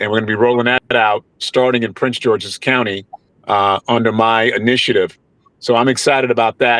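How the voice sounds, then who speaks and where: With a New York accent, a man speaks at a moderate pace and medium pitch, with a dry, close sound with no echo. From New York (Mount Vernon, near the Bronx). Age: 60s. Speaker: congressional candidate. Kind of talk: panel interview.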